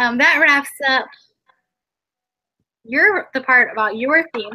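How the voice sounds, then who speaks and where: In a raised, projected voice with a bright, sharp tone and an American accent, the speaker talks very slowly with ordinary pitch variation. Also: woman, high pitch for a woman. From US South. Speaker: podcast host. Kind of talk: casual chat.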